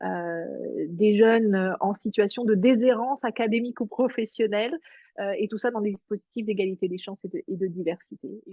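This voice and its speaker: This woman's fairly high voice shows ordinary pitch variation. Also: moderate pace. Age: 50s. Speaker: executive coach. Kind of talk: interview. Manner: hesitant, many fillers.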